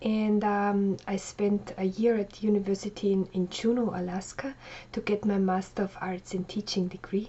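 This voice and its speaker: A woman speaks with a German accent at a medium pitch and a moderate pace. Her voice is somewhat breathy, with monotone, flat intonation. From Austria. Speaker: life coach. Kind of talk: personal biography monologue. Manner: casual, with frequent fillers.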